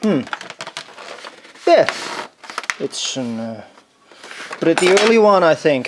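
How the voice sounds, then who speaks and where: Against noticeable background noise, a high-pitched man with a non-native accent speaks at a very slow pace, with long, frequent pauses and very wide pitch swings. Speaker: retro computer collector. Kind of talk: casual talk to camera. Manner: hesitant, musing.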